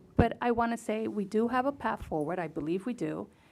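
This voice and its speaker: A woman with a fairly high voice and vocal fry talks at a moderate pace with ordinary pitch variation. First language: not English. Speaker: school board member. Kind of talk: board meeting discussion.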